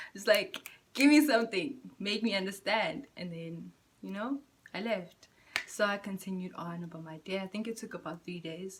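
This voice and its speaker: A woman with a medium-pitched, somewhat breathy voice speaks at a moderate pace, with ordinary pitch variation and big swings in loudness. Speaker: spiritual vlogger. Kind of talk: casual vlog monologue. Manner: halting, stuttering.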